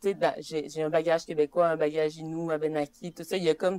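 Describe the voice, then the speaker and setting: In a Saguenay–Lac-Saint-Jean accent, the voice has a dark, mellow tone and fairly even intonation, recorded in a dry, close sound with no echo. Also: woman. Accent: Quebec French, Saguenay–Lac-Saint-Jean. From Quebec, Saguenay–Lac-Saint-Jean, Innu community (Mashteuiatsh). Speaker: poet. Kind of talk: interview on stage. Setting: public library workshop with audience. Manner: casual, many fillers.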